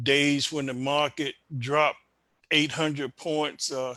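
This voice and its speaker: A very slow, monotone male voice, fairly high in pitch and bright and sharp in tone, on a very clean recording with a silent background. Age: 60s. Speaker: individual investor. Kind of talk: interview.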